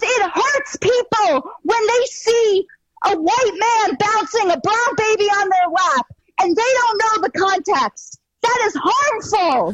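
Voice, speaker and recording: A woman shouts loudly in a squeaky, put-on character voice at an extremely high pitch. Her intonation is lively and her pace fairly slow. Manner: loud, shouting.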